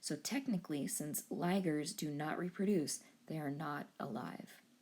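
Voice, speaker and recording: A woman speaks at a moderate pace with a somewhat breathy voice. Her intonation is lively. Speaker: high school biology teacher. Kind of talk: tutorial.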